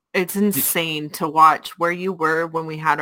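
This woman has an unremarkable speaking voice at a fairly low pitch. She speaks at a moderate pace. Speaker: co-host. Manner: playful, teasing.

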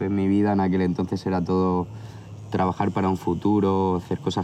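Through noticeable background noise, a man speaks at a fairly quick pace in a very deep, low voice that stays monotone and flat. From Barcelona area, Spain. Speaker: tattoo artist. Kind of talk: casual chat. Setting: outdoors.

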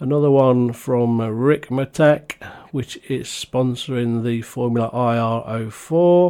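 Very slowly, a man speaks with a British accent in a dark, mellow tone. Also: medium pitch for a man, fairly even intonation. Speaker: podcast host. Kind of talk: casual podcast monologue; reading aloud. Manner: hesitant.

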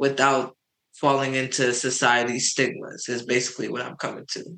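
A man's medium-pitched voice with a New York accent and monotone, flat intonation. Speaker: podcast co-host. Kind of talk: casual chat.

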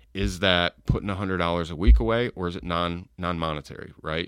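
A man with an American accent talks at a very fast pace, his pitch very deep and low with ordinary variation and vocal fry. The sound is dry and close, with no echo. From upstate New York. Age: middle-aged. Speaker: entrepreneur. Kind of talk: casual chat.

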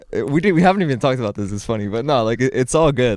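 Speaking very fast in a Canadian accent, a man uses ordinary pitch variation. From Orléans, Ottawa, Canada. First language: French (bilingual with English). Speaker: rapper. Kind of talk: casual chat. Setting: studio.

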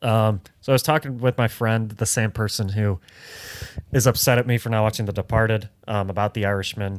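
At a fairly quick pace, a man talks in a normal speaking voice with fairly even intonation. The sound is dry and close, without any echo. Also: fairly low pitch for a man. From US Midwest (Detroit). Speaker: podcast co-host. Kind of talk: casual chat.

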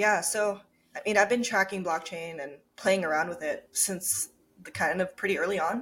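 A woman with an American accent and an unremarkable speaking voice talks at a moderate pace and medium pitch, with ordinary pitch variation and big swings in loudness. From Japan and Minnesota. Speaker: startup founder and CEO. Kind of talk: interview.

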